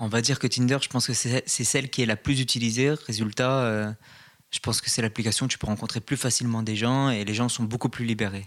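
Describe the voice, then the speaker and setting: In a very clean recording with a silent background, a man speaks at a fairly quick pace with a medium pitch and monotone, flat intonation. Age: 20s. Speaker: podcast guest, dating app user. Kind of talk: casual chat.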